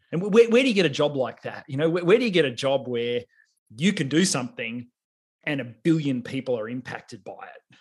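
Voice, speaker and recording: With an Australian accent, a man speaks in a fairly high voice with lively intonation and big swings in loudness. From Australia, regional Victoria. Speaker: technology executive and engineer. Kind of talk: interview.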